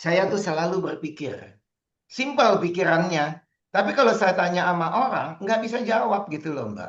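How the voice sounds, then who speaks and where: His intonation is lively and his pitch high. The man keeps a moderate pace. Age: 60s. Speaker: astrologer and feng shui consultant. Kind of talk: online talk / seminar. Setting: video call. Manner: casual, conversational.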